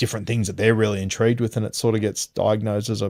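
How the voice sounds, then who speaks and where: Very fast talk from a man with an Australian accent. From Sydney, Australia. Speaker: rugby league podcaster and former primary teacher. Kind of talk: interview answer. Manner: casual, conversational.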